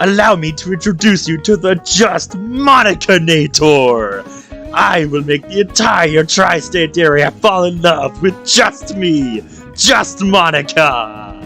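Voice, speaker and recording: A put-on, nasal character voice from a man, fairly high in pitch and fairly slow, with clear music in the background. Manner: theatrical, villainous.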